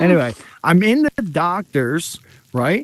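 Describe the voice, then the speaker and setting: The speaker is a man with a fairly high pitch. The sound is dry and close, with no echo. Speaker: talk show host. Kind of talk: casual chat. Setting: home studio.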